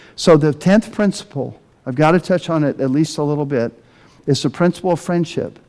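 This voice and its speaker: The man's voice is fairly high in pitch, with a dark, mellow tone. He talks at a fairly quick pace with ordinary pitch variation. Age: 60s. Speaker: pastor. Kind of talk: sermon.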